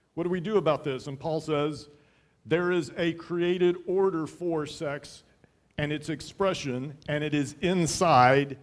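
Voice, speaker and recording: A man speaks fairly slowly, with only quiet in the background. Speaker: pastor. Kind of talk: sermon. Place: church. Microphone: headset.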